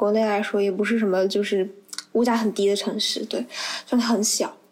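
There is noticeable background noise behind a woman speaking. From Anhui, China. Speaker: university student. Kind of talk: casual chat.

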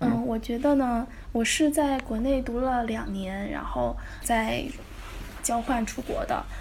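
Someone speaks at a fairly slow pace amid noticeable background noise and audible room echo. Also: woman. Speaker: recent graduate in Russian translation. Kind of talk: casual interview.

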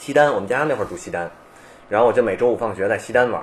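This man speaks at a medium pitch with ordinary pitch variation. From Beijing, China. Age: 30s. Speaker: skateboarder and skateboarding researcher. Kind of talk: casual chat.

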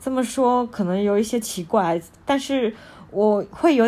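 A woman speaks in an unremarkable speaking voice. She talks at a fairly slow pace with lively intonation. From China. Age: young. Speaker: podcast host sharing books. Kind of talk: casual book-review monologue.

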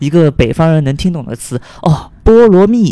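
In a Cantonese accent, a man speaks with lively intonation and a dark, mellow tone at a fairly high pitch. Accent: Cantonese-accented Mandarin. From Guangdong, China. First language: Cantonese (speaking Chinese). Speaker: podcast guest. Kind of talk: casual chat. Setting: at home.

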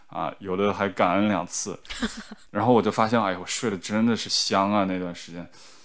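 A man speaks at a fairly low pitch with monotone, flat intonation. His loudness swings widely. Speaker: guest, partner of the host. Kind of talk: casual chat. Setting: recorded in person in the same room.

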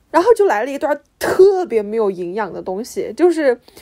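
A woman's voice with very wide pitch swings, in a very clean recording with a silent background. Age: young. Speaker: podcast co-host. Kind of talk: casual chat.

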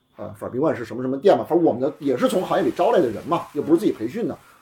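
The voice is somewhat breathy and dark, mellow in tone, racing along very fast with very wide pitch swings. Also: man, big swings in loudness. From Beijing. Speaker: entrepreneur, car repair shop and cafe founder. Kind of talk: casual chat. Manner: fast, talkative.

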